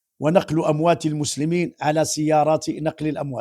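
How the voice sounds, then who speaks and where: A man speaks at a moderate pace with a fairly high pitch and a dark, mellow tone, on a very clean recording with a silent background. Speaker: Islamic preacher. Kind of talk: religious commentary.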